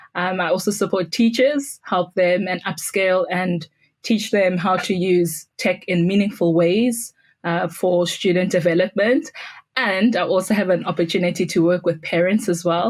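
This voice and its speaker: A woman speaks with a South African accent at a medium pitch. Her pace is moderate. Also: ordinary pitch variation. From South Africa, Pretoria. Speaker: school technology integrator. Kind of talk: podcast interview.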